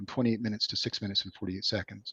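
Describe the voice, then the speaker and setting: Against a quiet background, a man talks in a fairly low pitch with fairly even intonation, the sound dry with no echo. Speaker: software developer presenting a product; presenter. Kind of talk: product demo presentation. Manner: fast. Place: home room. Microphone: webcam.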